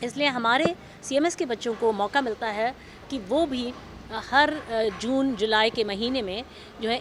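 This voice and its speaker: The woman's voice sits at a fairly high pitch. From India, Lucknow. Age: 60s. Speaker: school representative. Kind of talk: interview. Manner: hesitant, many fillers.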